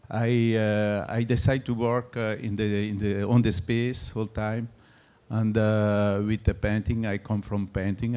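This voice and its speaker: A man speaks at a fairly slow pace in a French accent, his fairly low voice dark and mellow in tone with monotone, flat intonation. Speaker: artist. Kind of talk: artist talk. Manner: halting, many fillers.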